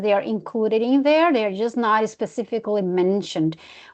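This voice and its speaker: A woman's fairly high voice with lively intonation over a quiet background. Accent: non-native. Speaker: presenter, wildlife management expert. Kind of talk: webinar Q&A answer.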